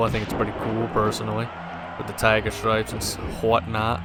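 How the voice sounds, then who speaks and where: A man speaks at a medium pitch. Behind his voice, music is playing. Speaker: gaming let's play commentator. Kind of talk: video game commentary. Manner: monotone.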